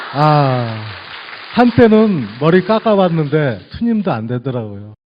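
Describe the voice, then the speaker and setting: Very wide swings in pitch mark the voice as it proceeds at a very slow pace. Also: man, fairly high pitch for a man. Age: 50s. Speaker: audience questioner, office worker. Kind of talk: audience question.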